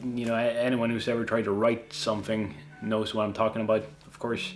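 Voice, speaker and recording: Medium-pitched male speech with a Swedish accent at a moderate pace, over noticeable background noise. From Sweden. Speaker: YouTuber, cosplayer. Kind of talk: casual Q&A. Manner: halting, many fillers.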